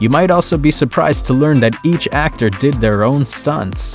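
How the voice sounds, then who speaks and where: A man's medium-pitched voice with an upbeat tone, lively intonation and a moderate pace, over music in the background. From Latin America. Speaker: voice actor. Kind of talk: casual talk to camera. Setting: home studio.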